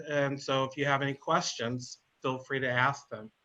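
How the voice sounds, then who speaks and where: A man with an American accent speaks at a fairly high pitch. His tone is bright and sharp. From northern US. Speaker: veterans services coordinator. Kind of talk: webinar panel talk.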